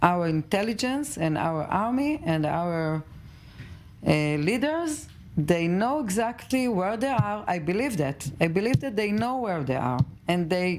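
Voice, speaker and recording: With an Israeli accent, a woman of medium pitch speaks fairly slowly, her pitch swinging very widely. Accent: Israeli Hebrew. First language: Hebrew. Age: 50s. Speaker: mother of a hostage. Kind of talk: tv news interview. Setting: tv studio. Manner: halting.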